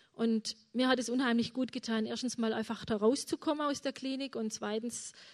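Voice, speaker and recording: A woman with a fairly high pitch talks at a moderate pace. Her intonation is monotone and flat, over a quiet background. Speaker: mother of a chronically ill son. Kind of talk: testimony.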